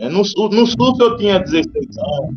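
This man's voice sits at a high pitch. He talks at a very slow pace. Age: 50s. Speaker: race organizer and runner. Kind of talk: casual chat.

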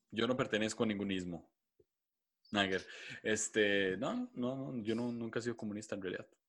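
With long, frequent pauses, a man speaks at a moderate pace, his fairly low voice keeping a fairly even intonation. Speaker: podcast co-host. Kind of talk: casual chat.

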